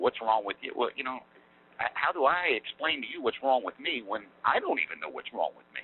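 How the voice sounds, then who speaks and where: Speaking at a fairly quick pace, a man's voice shows big swings in loudness. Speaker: former prison inmate. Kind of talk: interview. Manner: fast; halting.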